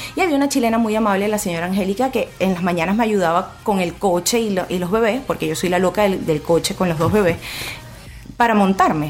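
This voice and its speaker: A woman's medium-pitched voice in a Venezuelan accent, very fast, with ordinary pitch variation and noticeable background noise. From Venezuela, Puerto Ordaz (Guayana region). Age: 20s. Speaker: blogger and single mother. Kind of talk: radio interview.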